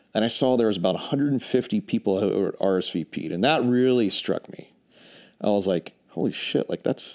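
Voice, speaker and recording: Here is a man with an American accent and a plain, everyday voice. He talks at a fairly quick pace and a medium pitch, with lively intonation. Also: dry, close sound with no echo. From Charlotte, North Carolina, US South. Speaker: remote worker, strategy consultant. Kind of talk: casual chat.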